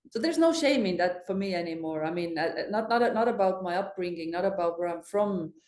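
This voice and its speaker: In an Estonian accent, a woman talks very fast with hardly any pauses, at medium pitch with ordinary pitch variation. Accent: Estonian accent, emphasized. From Estonia, island village. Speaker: fintech executive. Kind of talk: podcast interview.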